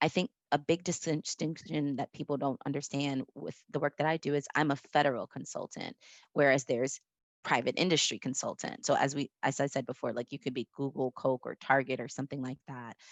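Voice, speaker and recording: A woman's very deep, low voice at a fairly quick pace, with fairly even intonation. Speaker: management consultant. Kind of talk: interview. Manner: fast.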